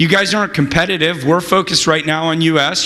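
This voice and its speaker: Amid noticeable background noise and audible room echo, a man with an American accent talks at a moderate pace and a high pitch. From California. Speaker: venture capitalist. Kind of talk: conference interview.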